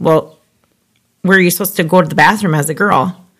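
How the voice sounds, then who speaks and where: An Upper Midwest accent with ordinary pitch variation. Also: woman. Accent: Upper Midwest (Minnesota). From southwestern Minnesota. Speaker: podcast host. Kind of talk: casual chat.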